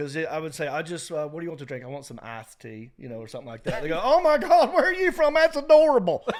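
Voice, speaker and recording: A man with an American accent talks very fast, with hardly any pauses and big swings in loudness. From North Carolina (Hickory). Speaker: stand-up comedian and actor. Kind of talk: casual chat.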